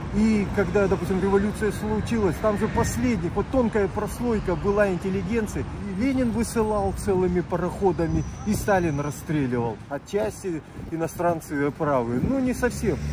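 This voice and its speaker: The sound is dry with no echo, though background noise is noticeable. A man speaks at a moderate pace in a high voice with very wide pitch swings and very even loudness. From Khabarovsk, Russian Far East. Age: 60s. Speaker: retired street protester, activist. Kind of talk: street interview answer. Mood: earnest, critical. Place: street.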